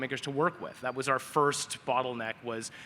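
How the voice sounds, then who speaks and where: A man talks at a fairly quick pace and medium pitch. His intonation is fairly even, with noticeable background noise. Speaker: AI asset manager. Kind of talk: panel discussion. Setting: stage with audience.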